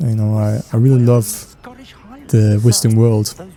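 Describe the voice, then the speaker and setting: With noticeable background noise behind him, a man speaks with a Danish accent. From Denmark. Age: 20s. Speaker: gaming and fan-theory youtuber. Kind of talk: casual chat while gaming. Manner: hesitant, many fillers.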